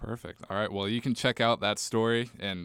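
A man talks fairly quickly in an unremarkable speaking voice with fairly even intonation. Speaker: podcast host. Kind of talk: casual chat.

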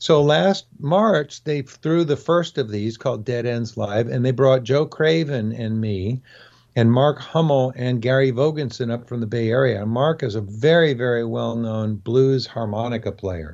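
Here a man speaks with an American accent at medium pitch. His pace is moderate, and his pitch varies in an ordinary way. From California. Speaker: music journalist and radio host. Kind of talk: casual interview.

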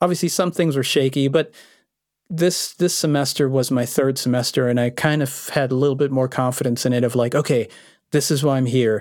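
A man's medium-pitched, plain, everyday voice, fairly quick and fairly even in intonation, very even in loudness, on a very clean recording with a silent background. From born in Vienna, Austria, raised in Los Angeles. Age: 40s. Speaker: electronic music producer. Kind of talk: interview.

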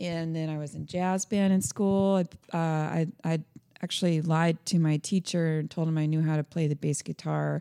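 On a very clean recording with a silent background and a dry, close sound with no echo, a woman with an American accent and a dark, mellow tone speaks at a fairly low pitch and moderate pace with fairly even intonation. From Orlando, Central Florida. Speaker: rock band musician. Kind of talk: casual interview chat. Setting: in-person studio recording room.

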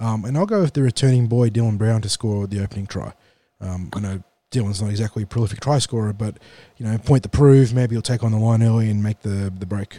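Talking at a fast pace, a man has a raspy, nasal voice with a fairly low pitch, a dark, mellow tone and ordinary pitch variation.

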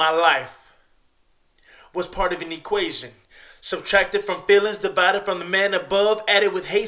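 A man speaks at a moderate pace in a raised, projected voice with a high pitch. His tone is bright and sharp. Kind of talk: poet spoken word. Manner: earnest, motivational, confessional.

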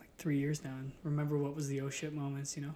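Fairly quick and somewhat breathy, a man speaks. His pitch is fairly high. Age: 20s. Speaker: pro wrestling referee. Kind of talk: casual chat. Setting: studio.

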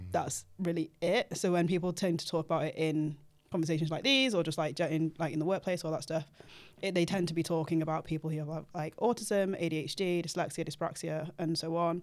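In a British accent, a woman speaks at a fairly quick pace with fairly even intonation. The recording is very clean and the background silent. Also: fairly low pitch for a woman. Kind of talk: casual podcast interview.

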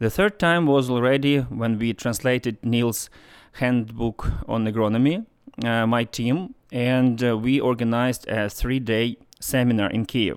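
At a fairly slow pace, a man with a Ukrainian accent speaks at medium pitch with fairly even intonation on a very clean recording with a silent background. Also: very even loudness. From Ukraine (Lutsk, western Ukraine). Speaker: agriculture specialist. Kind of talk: interview testimony. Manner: halting, frequent hesitations.

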